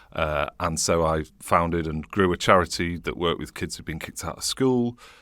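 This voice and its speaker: A man speaks with a bright, sharp tone and a very deep, low pitch, his pitch varying in an ordinary way while his loudness swings widely. The recording is very clean, with a silent background. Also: moderate pace. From northern England, Leeds. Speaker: charity and think tank chief executive. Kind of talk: interview conversation. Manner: animated.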